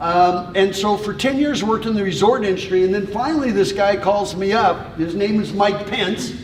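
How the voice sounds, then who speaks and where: Amid noticeable background noise and audible room echo, a man speaks loudly at a high pitch with ordinary pitch variation. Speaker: tourism consultant. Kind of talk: informal presentation to a group.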